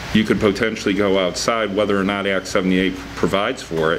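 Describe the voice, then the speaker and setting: There is light background noise. A man talks at a fairly quick pace with a fairly low pitch. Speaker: city attorney. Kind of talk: city council meeting. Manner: formal. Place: meeting room. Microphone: podium.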